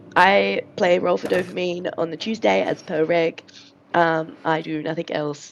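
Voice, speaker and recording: Using a raspy, put-on character voice with a fairly low pitch, a woman speaks at a moderate pace. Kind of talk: podcast introduction.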